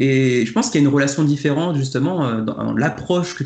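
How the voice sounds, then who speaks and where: Energetic in tone and somewhat breathy, a man with a fairly high pitch talks at a fairly quick pace with ordinary pitch variation. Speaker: board game video creator. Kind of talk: casual debate.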